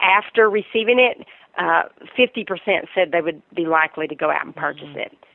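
Speaking in a Southern US accent at a medium pitch, a woman moves at a fairly quick pace with lively intonation, big swings in loudness and long, frequent pauses. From US South, Virginia. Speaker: marketing executive. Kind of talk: interview.

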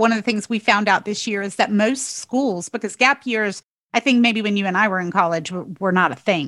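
A woman's plain, everyday voice with an American accent at medium pitch, moderate pace and ordinary pitch variation, in a very clean recording with a silent background and a dry, close sound with no echo. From North Carolina. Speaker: podcast host, tax attorney. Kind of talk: interview conversation.

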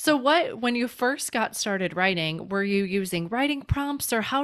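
Speaking at a moderate pace in a Midwestern US accent, the voice makes very wide pitch swings on a very clean recording with a silent background. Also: woman. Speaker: podcast host. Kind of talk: casual interview chat.

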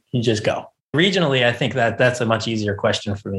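Somewhat breathy and very fast, a man talks at a medium pitch with an American accent. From US South, Charleston, South Carolina. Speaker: chef. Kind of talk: casual interview.

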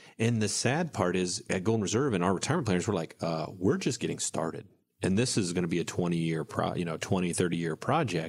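A man speaks in a very deep, low voice with a slight Southern US accent. The recording is very clean, with a silent background. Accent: slight Southern US drawl. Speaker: financial advisor and radio show host. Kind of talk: casual radio talk show chat. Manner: mumbles; slight twang, can slur.

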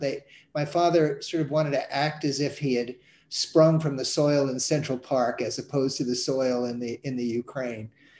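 A man with a normal speaking voice talks at a moderate pace, fairly high in pitch with ordinary pitch variation. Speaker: cartoonist. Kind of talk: interview conversation.

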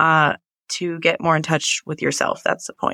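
The speaker has an American accent, captured on a very clean recording with a silent background. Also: woman, dry, close sound with no echo. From Appalachia, western North Carolina. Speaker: astrologer and yoga teacher. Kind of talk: casual interview chat.

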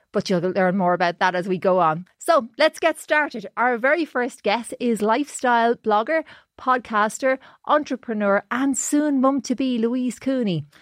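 Spoken at a moderate pace with an Irish accent, the voice has lively intonation and very even loudness. The sound is dry and close with no echo, against a quiet background. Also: woman, fairly high pitch for a woman. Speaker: podcast host, journalist. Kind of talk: casual chat.

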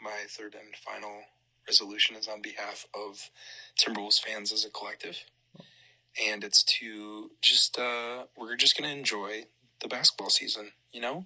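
Quiet and medium-pitched, a man speaks at a moderate pace with big swings in loudness and long, frequent pauses. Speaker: sports podcast co-host. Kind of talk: casual chat. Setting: studio.

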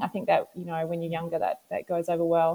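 A woman speaks with an Australian accent. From Western Australia. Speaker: ultrarunner. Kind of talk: interview.

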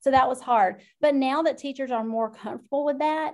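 The recording is very clean, and the background is silent. A woman speaks with fairly even intonation at a moderate pace. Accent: Southern US. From South Georgia, US. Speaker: instructional technology educator. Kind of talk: casual interview chat.

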